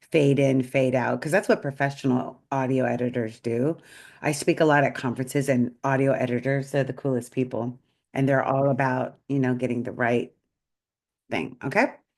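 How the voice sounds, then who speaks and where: Against a quiet background, a woman speaks at a moderate pace with a very deep, low pitch and fairly even intonation. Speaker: AI trainer for small businesses. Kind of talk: tutorial. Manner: casual, conversational.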